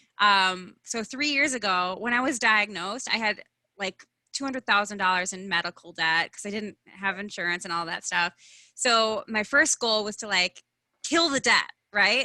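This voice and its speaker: A woman with a Midwestern accent speaks at a moderate pace and medium pitch, her tone bright, sharp, and animated. The sound is dry and close with no echo, over a quiet background. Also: ordinary pitch variation. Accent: Midwestern, chewy vowels. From US Midwest. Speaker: branding consultant and speaker. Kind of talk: podcast interview.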